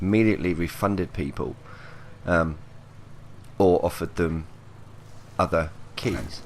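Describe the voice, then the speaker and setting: A quiet man speaks with a very deep, low pitch and ordinary pitch variation. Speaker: gaming youtuber. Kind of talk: casual commentary vlog.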